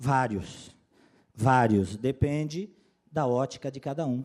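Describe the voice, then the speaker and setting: Speaking at a very slow pace, a man with a medium pitch has a dark, mellow tone and ordinary pitch variation. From Florianópolis, Santa Catarina, southern Brazil. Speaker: compliance consultant and lawyer, workshop speaker. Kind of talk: lecture.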